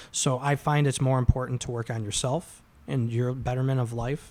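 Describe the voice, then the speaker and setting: Medium pitch and fairly even intonation in a man's voice, a normal speaking voice. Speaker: restoration company worker and father. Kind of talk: casual chat.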